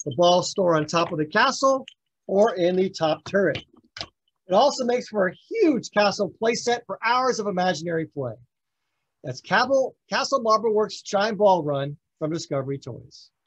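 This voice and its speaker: A man talks at a moderate pace, his pitch swinging very widely. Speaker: toy demonstrator. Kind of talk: product demonstration. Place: home room.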